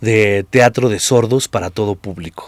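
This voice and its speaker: A man speaks at a fairly slow pace. He has a Mexican accent. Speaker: actor and improv theatre director. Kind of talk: interview conversation.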